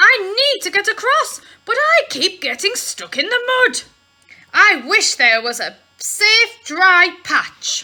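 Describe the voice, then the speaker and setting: A put-on character voice from a woman, pitched extremely high. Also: fairly slow pace. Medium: read story.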